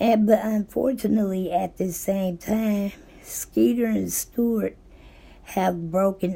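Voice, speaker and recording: A woman speaks at a very slow pace in a somewhat breathy voice with a dark, mellow tone. Her medium pitch shows ordinary variation. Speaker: book recap youtuber. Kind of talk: book summary monologue. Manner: voice goes in and out; casual with fillers and self-corrections.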